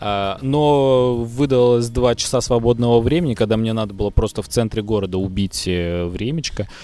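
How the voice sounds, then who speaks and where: A man speaks in a medium pitch with a dark, mellow tone. He leaves hardly any pauses, and his pitch varies in an ordinary way. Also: moderate pace. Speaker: podcast co-host. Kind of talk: casual chat.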